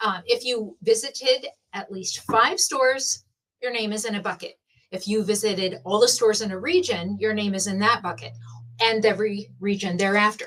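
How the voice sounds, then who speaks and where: Animated in tone, a woman with a fairly high pitch speaks at a moderate pace. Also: ordinary pitch variation. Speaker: shop hop event organizer. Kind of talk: live-streamed prize drawing explanation. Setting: live stream from a room with prize buckets. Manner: animated, talks with her hands.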